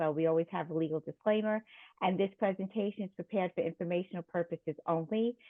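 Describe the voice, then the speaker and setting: The speaker has a New York accent and keeps the intonation fairly even. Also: woman. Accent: New York (Queens) accent, still noticeable. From Queens, New York City. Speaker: nurse and risk management consultant presenting. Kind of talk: lecture. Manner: frequent filler ums.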